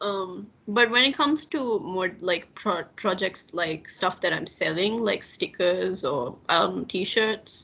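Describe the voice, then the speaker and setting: A woman with a bright, sharp tone and vocal fry speaks at a very slow pace and medium pitch, her intonation lively and hardly any pauses breaking her speech. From Maldives. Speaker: illustrator. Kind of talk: casual chat.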